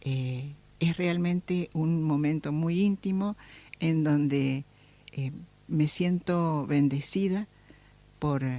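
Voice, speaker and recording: Very slow, with long, frequent pauses, a woman speaks at a very deep, low pitch, her tone dark and mellow and her intonation fairly even. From Argentina, Córdoba. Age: 70s. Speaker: lawyer and human rights activist. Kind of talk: interview. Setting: radio studio.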